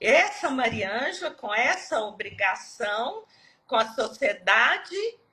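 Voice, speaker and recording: Very slow and high-pitched, a woman speaks with a bright, sharp tone. Her pitch swings very widely. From Minas Gerais, Brazil. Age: 60s. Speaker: retired civil servant, Lyme disease patient. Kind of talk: personal testimony in live interview.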